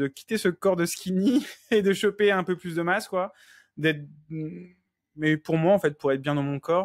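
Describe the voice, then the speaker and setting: Fairly slow delivery with long, frequent pauses, ordinary pitch variation and a dry, close sound with no echo. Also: man, high pitch for a man. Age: 30s. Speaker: coaching client, nursing assistant. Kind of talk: interview testimony. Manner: hesitant, many fillers.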